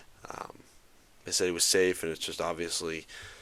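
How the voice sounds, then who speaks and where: A quiet voice on a very clean recording with a silent background. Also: man. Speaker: sports podcast host. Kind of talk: casual solo podcast. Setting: at home late at night, on camera. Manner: quiet, keeping voice down; halting, many fillers.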